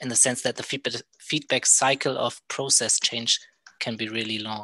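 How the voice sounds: The man's voice has a bright, sharp tone.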